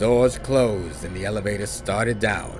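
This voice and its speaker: Music plays in the background while a man speaks at a fairly slow pace. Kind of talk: horror story reading, audiobook narration.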